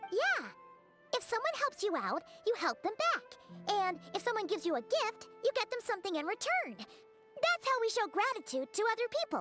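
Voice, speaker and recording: A put-on character voice at an extremely high pitch and moderate pace, with clear music in the background. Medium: game stream. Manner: friendly, explanatory.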